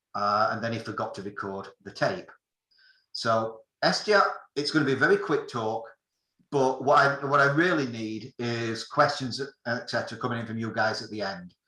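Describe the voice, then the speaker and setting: A man with a British accent speaks at medium pitch with ordinary pitch variation. His tone is bright and sharp. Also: moderate pace. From England. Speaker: amateur radio operator giving a talk. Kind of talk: technical presentation. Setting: video call.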